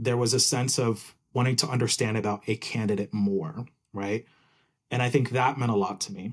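At a moderate pace, a man speaks in a somewhat breathy voice of medium pitch with fairly even intonation. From New Jersey (born Puerto Rico). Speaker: technical program manager. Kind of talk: casual interview.

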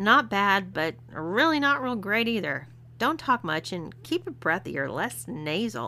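A woman uses a put-on character voice with a bright, sharp tone and a medium pitch. She speaks at a fairly slow pace with big pitch swings.

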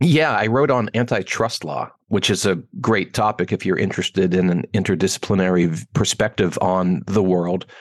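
A man with a Pittsburgh accent talks at a moderate pace in a very deep, low pitch, with lively intonation and hardly any pauses. The sound is dry and close, with no echo. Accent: American, Pittsburgh. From Pittsburgh, Pennsylvania, US. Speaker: wealth education founder. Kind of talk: interview.

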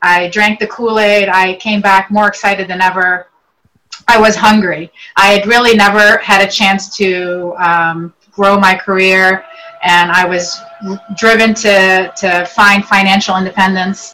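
Fairly slow, monotone, flat delivery over music in the background. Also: woman, medium pitch for a woman. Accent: Virginia. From Lebanon (Beirut), then northern Virginia from age 8. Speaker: real estate agent. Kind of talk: interview.

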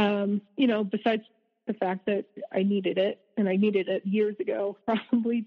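In an ordinary speaking voice, a woman with an American accent speaks at a moderate pace, medium in pitch, with fairly even intonation. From US South. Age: 30s. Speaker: abuse survivor. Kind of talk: testimony.

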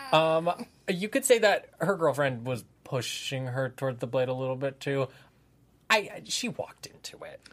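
A man with an American accent speaks in a plain, everyday voice at a fairly high pitch and a moderate pace. His intonation is lively, and his loudness swings widely. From Santa Monica, Southern California. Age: 20s. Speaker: TV review podcast host. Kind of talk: casual chat.

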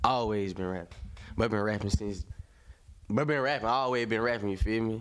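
A man talks at a fairly quick pace. His medium-pitched voice keeps a fairly even intonation. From South Carolina, Fairfield. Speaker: rapper. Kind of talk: casual interview.

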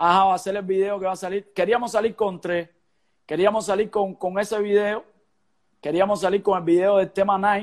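A high-pitched man in a flat monotone. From Cuba. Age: 30s. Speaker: singer. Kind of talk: casual chat.

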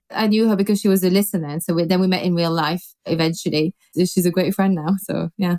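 A woman talks very fast with hardly any pauses, at a medium pitch with fairly even intonation. Her tone is dark and mellow. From Belgium. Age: 40s. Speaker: podcast host. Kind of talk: casual chat.

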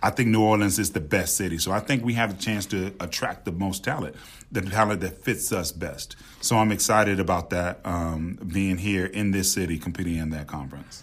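A man with an American accent at a fairly quick pace, very deep and low in pitch, with ordinary pitch variation. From Memphis, Tennessee (US South). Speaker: university athletic director. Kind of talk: interview.

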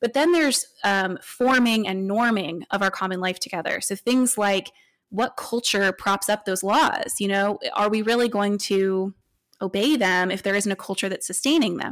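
A woman with an American accent and a normal speaking voice, medium in pitch and moderate in pace, with ordinary pitch variation, in a very clean recording with a silent background. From US, military family moving around. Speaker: author and seminary student. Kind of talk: interview conversation.

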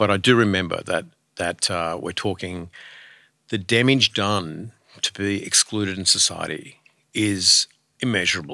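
A man with an Australian accent speaks at a moderate pace with long, frequent pauses, his fairly low voice bright and sharp in tone with ordinary pitch variation. The recording is very clean, with a silent background and a dry, close sound with no echo. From rural Australia. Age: 50s. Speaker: charity board chair. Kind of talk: casual chat. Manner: halting.

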